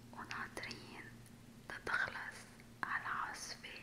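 A woman whispers, speaking very slowly. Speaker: ASMR storyteller. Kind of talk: whispered ASMR storytelling. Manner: whispered, soft, slow. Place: home room. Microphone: studio mic.

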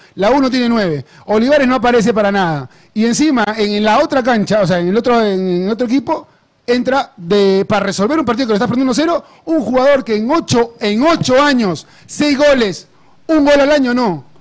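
A man speaks at an extremely high pitch and a fairly quick pace against a quiet background. His tone is animated and his intonation lively. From Peru, Lima. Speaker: football pundit. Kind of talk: live commentary. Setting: livestream. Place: studio. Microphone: handheld.

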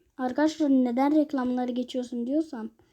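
A woman's high-pitched voice with a dark, mellow tone and ordinary pitch variation over a quiet background. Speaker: mobile gaming youtuber. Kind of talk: gameplay commentary. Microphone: phone mic, muffled when touched.

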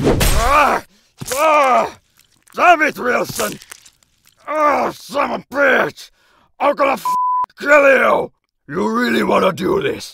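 Putting on a character voice at an extremely high pitch, a man projects loudly at a very slow pace with long, frequent pauses. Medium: dub. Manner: angry, shouting.

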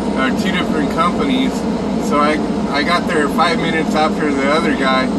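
Loud background noise runs behind a man talking at a moderate pace. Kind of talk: casual vlog chat. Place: car. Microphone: phone near.

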